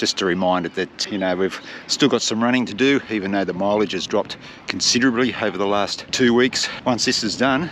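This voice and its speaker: Speaking with an Australian accent at a fairly quick pace, a man uses a fairly low pitch and ordinary pitch variation over noticeable background noise. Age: 50s. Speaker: marathon runner vlogger. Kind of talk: casual vlog narration. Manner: relaxed, conversational.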